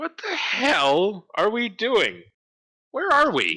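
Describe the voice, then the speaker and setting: A man puts on a character voice at an extremely high pitch, with very wide pitch swings. He talks at a very slow pace. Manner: confused, exasperated.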